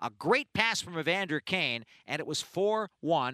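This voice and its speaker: A raised, projected voice with a bright, sharp tone comes through dry and close with no echo, on a very clean recording with a silent background. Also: man. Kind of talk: live hockey play-by-play commentary. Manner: animated, excited goal calls.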